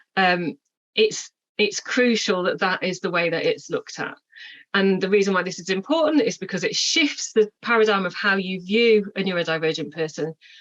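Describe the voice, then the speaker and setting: A woman speaks with lively intonation. Her pitch is medium. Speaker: neurodiversity trainer. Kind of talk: workshop presentation. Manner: fast.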